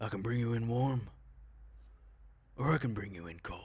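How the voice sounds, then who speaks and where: Using a put-on character voice, a man speaks in a menacing tone at a medium pitch. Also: moderate pace. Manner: gruff, menacing.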